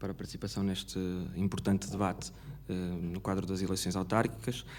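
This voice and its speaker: Heard with audible room echo, this man has a dark, mellow tone and a fairly low pitch, speaking at a fairly quick pace. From Braga, northern Portugal. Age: 30s. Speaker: mayoral candidate. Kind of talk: political debate. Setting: auditorium with audience, broadcast on radio. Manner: hesitant, many filler sounds.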